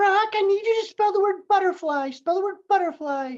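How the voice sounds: Someone speaks in a put-on character voice, pitched extremely high and delivered at a moderate pace.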